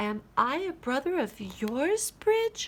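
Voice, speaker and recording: Putting on a character voice, a woman uses a high pitch with very wide swings at a very slow pace. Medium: read story. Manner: small, earnest.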